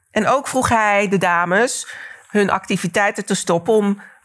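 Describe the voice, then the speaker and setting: With a normal speaking voice and ordinary pitch variation, a woman speaks at a fairly slow pace on a very clean recording with a silent background. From Netherlands, Delft. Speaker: cultural historian. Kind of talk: lecture.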